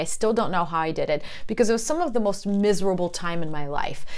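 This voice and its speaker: Audible room echo surrounds a woman whose voice has very wide pitch swings. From Russia. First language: Russian. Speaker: personal development vlogger. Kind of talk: personal testimony.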